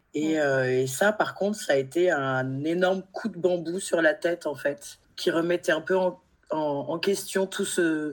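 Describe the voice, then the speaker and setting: A woman uses an ordinary speaking voice, fairly low in pitch with ordinary pitch variation, at a fairly slow pace on a very clean recording with a silent background. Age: 40s. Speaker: guest sharing personal grief story. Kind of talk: testimony.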